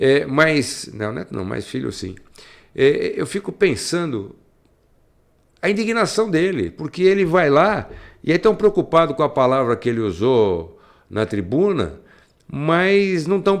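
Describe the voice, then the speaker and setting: Very wide pitch swings mark this man's fairly slow delivery, broken by long, frequent pauses, in a very clean recording with a silent background. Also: fairly high pitch for a man. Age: 60s. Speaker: radio host. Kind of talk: commentary. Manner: halting.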